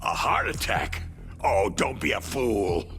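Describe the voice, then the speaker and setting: Over clear background music, a man puts on a character voice, talking fairly slowly at a fairly low pitch. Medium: video game. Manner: nervous, stammering.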